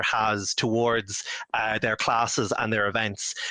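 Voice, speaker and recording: A speaker with an Irish accent has a bright, sharp tone and talks at a fairly slow pace. The sound is dry and close with no echo. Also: man. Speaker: author and moderator. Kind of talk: panel discussion. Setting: online video event. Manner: loud.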